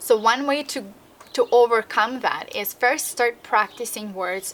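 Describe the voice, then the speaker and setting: A woman with a slight Russian accent speaks fairly slowly and fairly high, with ordinary pitch variation. Her loudness swings widely over noticeable background noise. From Russian-speaking country. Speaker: language learning vlogger. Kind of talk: vlog tutorial. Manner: casual with frequent fillers.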